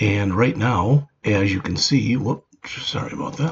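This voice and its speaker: A man talks at a fairly slow pace with lively intonation. He has a plain, everyday voice. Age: 60s. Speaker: retired programming instructor. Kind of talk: casual video introduction.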